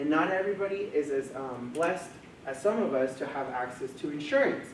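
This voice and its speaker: Audible room echo surrounds a man speaking at a fairly quick pace with a Spanish accent. His pitch is fairly high, with ordinary variation. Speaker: mental health coordinator. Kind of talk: presentation to a live audience.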